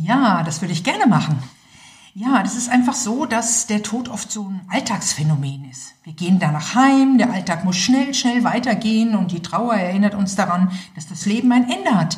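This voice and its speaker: With lively intonation and big swings in loudness, a woman speaks at medium pitch and a moderate pace over noticeable background noise. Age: 50s. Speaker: nurse and end-of-life doula. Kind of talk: interview. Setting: studio.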